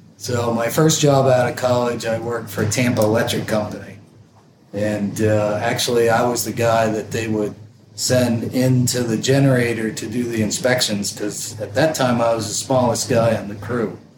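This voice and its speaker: With an American accent, a man speaks at a moderate pace in a monotone, flat intonation, amid audible room echo and noticeable background noise. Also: medium pitch for a man. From Vermont, US. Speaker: electrical engineer. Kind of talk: casual chat.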